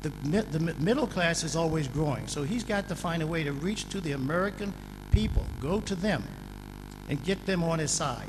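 Noticeable background noise and audible room echo surround a man who speaks at a moderate pace with a fairly high pitch and ordinary pitch variation. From Washington, D.C., US. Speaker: businessman. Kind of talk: panel discussion. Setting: stage with audience.

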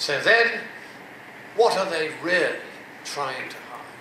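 A man at a fairly slow pace, with noticeable background noise and audible room echo. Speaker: public speaker. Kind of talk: lecture. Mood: mocking, persuasive. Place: hall.

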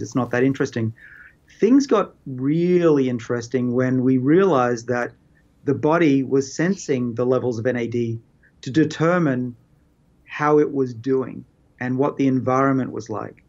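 Ordinary pitch variation from a man talking at a moderate pace. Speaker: interviewee. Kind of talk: interview answer. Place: office. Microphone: webcam.

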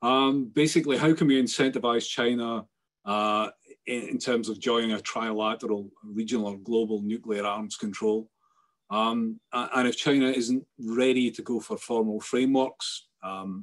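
The background is quiet. A man speaks at a moderate pace with fairly even intonation. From Scotland. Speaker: webinar moderator. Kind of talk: panel discussion moderation. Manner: halting. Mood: calm, thoughtful. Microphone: video call.

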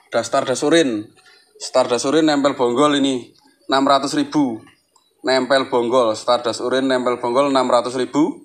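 Over a quiet background, a man speaks fairly slowly in a monotone, flat way, his loudness very even throughout. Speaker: plant seller. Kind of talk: street-market sales pitch listing plants and prices. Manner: repetitive, hawking each item twice with 'murah meriah' cheerful calls. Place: garden. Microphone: phone near.

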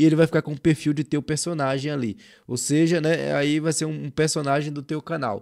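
A man with a fairly high pitch and a dark, mellow tone speaks at a moderate pace with fairly even intonation, the very clean recording dry and close with no echo and a silent background. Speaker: youtube tutorial creator. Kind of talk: screen-share tutorial. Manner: casual, colloquial.

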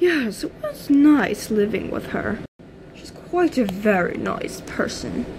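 A woman puts on a character voice, speaking slowly at a fairly high pitch with big swings in pitch, her tone slightly mellow over faint background noise.

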